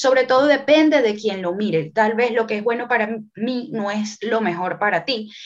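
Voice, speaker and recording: This woman talks at a moderate pace with hardly any pauses, her fairly high voice showing ordinary pitch variation. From Venezuela. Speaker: numerologist and tarot reader. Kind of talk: casual interview chat.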